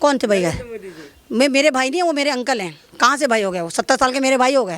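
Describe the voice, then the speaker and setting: The tone is animated. Intonation is lively throughout. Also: woman, high pitch for a woman. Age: old. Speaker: interviewee, comic commentator. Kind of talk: comic interview.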